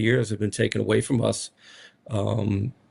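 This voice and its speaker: In a strong Rhode Island accent, a man speaks at a fairly slow pace with monotone, flat intonation. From Rhode Island (Smithfield). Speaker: college basketball head coach. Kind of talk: media interview. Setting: media day. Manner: casual, filler-heavy.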